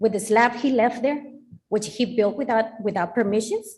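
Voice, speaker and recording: A woman talks in a Spanish accent at a moderate pace with ordinary pitch variation. Her voice is fairly high and somewhat breathy. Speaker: resident speaking at public hearing. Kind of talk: public comment at council meeting.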